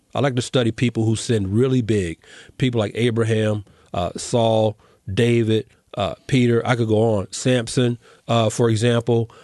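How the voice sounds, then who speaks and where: A man with an American accent speaks at a moderate pace in a flat monotone, his dark, mellow voice holding a very even loudness in a dry, close recording with no echo over a quiet background. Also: medium pitch for a man. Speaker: podcast host. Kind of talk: casual interview chat.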